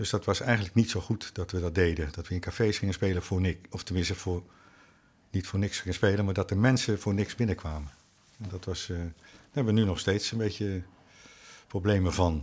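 This man has a very deep, low pitch and a somewhat breathy voice, with ordinary pitch variation. He speaks at a fairly quick pace in a very clean recording with a silent background. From Netherlands, The Hague. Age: 60s. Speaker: jazz drummer. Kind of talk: casual interview chat. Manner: halting, many repetitions.

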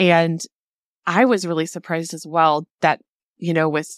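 An enthusiastic voice speaks at a moderate pace in a dry, close sound with no echo. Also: woman. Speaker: podcast host and business coach. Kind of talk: casual interview chat. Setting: remote call.

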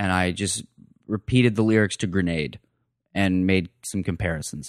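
A man with an American accent and a fairly low pitch speaks at a moderate pace, the sound dry and close with no echo on a very clean recording with a silent background. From US Southwest, Phoenix. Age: 20s. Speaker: comedian. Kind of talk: casual chat.

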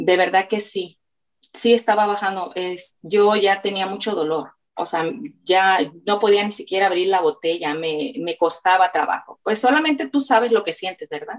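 A woman speaks in a plain, everyday voice at a moderate pace. Her pitch is medium, with ordinary pitch variation. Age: 50s. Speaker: weight-loss client. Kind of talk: testimony.

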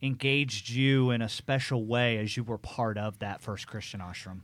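On a very clean recording with a silent background, a man of medium pitch speaks at a moderate pace with ordinary pitch variation in a plain, everyday voice. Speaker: podcast host. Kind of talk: interview, host questioning guest.

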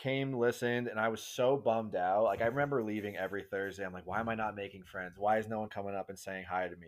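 Very fast and with hardly any pauses, a man talks with an American accent and fairly even intonation. The recording is very clean, with a silent background. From New York City area. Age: 30s. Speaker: podcast guest, church volunteer. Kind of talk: casual chat.

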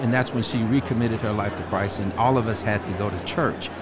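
Man with an American accent at a medium pitch and a fairly quick pace, with audible room echo and noticeable background noise. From US South, Shreveport, Louisiana. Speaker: retired fire chief. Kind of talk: interview. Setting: convention floor.

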